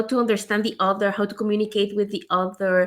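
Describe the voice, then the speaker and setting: Speaking in a non-native accent, a woman's voice sits at a medium pitch. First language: not English. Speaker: podcast host. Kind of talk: casual interview chat.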